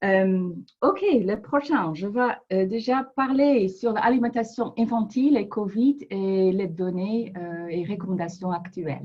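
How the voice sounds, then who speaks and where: A woman with a non-native accent speaks at a very slow pace and medium pitch with lively intonation. Her voice is somewhat breathy, with big swings in loudness. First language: not French (speaking French). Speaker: public health researcher. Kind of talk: webinar presentation. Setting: online webinar. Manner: halting, many hesitations.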